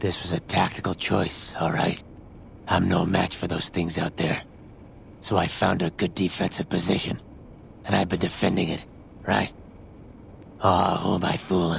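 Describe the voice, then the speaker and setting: Man's put-on character voice, very deep and low in pitch, at a moderate pace with long, frequent pauses, over clear background noise. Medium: video game. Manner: sardonic, crude.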